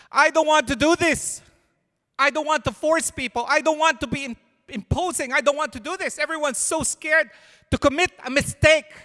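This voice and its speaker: A man uses a raised, projected voice at an extremely high pitch, with a bright, sharp tone and fairly even intonation at a moderate pace. The recording is very clean with a silent background, and the sound is dry and close with no echo. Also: long, frequent pauses. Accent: non-native. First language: not English. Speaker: pastor. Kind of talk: sermon. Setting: church. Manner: conversational, halting.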